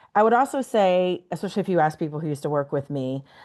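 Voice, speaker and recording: Against a quiet background, a woman talks with a Texas accent and ordinary pitch variation. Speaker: outdoor adventure guide and marketer. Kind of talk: interview.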